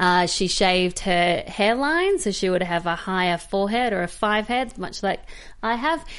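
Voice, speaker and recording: A woman with an Australian accent speaks at a medium pitch. Her pace is moderate and her intonation lively. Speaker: film podcast co-host. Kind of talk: casual chat. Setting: studio.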